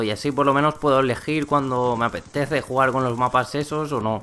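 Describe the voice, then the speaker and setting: Using fairly even intonation, a man with a fairly high pitch speaks at a moderate pace. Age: 20s. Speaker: gaming YouTuber. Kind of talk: gameplay commentary vlog. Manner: halting, frequent repetitions.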